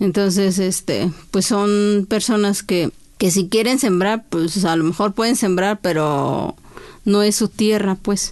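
Here a woman with an Oaxacan accent talks at a very slow pace and medium pitch. Her intonation is fairly even and her loudness very even. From Oaxaca, Mexico (Chinantla region). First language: Chinantec (speaking Spanish). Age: 40s. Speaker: poet and court interpreter. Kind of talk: interview. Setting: studio.

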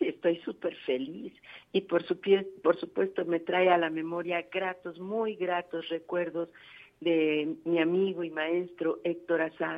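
A woman talks at a very slow pace. Her voice is fairly low. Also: fairly even intonation. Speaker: radio producer. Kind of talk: interview.

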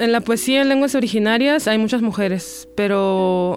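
The speaker talks at a fairly slow pace with a northwestern Mexican accent. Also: woman. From Punta Chueca, Sonora, Mexico. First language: Seri (speaking Spanish). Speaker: poet and singer. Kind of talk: personal testimony.

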